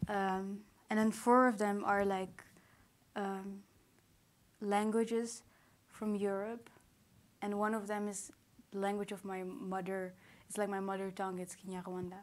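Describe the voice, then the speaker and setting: Long, frequent pauses break up a woman's monotone, flat delivery at a medium pitch, with audible room echo around her. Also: fairly slow pace. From Netherlands, Rwandan parents. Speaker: poet, performer. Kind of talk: public conversation on stage. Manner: halting.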